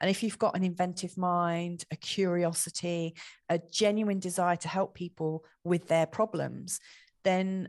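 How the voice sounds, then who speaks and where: A woman speaks with a southern English accent at a fairly low pitch. The sound is dry and close with no echo, over a quiet background. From southeast England. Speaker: astrologer. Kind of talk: casual chat.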